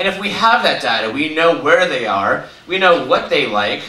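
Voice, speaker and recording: A man with an American accent talks at a fairly quick pace with very wide pitch swings, with audible room echo and noticeable background noise. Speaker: conference speaker, media company executive. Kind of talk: conference talk. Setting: stage with audience. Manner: fast.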